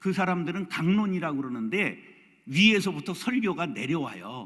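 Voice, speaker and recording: Pitched high, a man's voice swings very widely in pitch. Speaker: pastor. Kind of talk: lecture.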